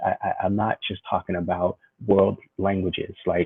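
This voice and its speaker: A man with a Californian accent at a moderate pace. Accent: Californian American English. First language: Vietnamese. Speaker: educator and spoken word artist. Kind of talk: interview conversation.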